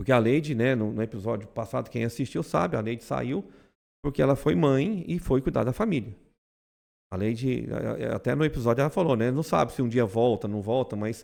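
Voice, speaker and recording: With vocal fry in his medium-pitched voice, a man talks at a fairly quick pace with lively intonation. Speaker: insurance brokerage owner. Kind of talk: podcast conversation. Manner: loud; fast.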